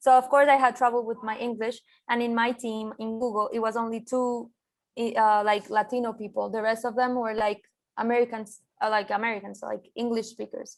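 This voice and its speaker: A woman's fairly high, monotone voice with a Colombian accent at a fairly quick pace, on a very clean recording with a silent background. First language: Spanish. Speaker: designer and art director. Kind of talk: interview. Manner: halting, many fillers.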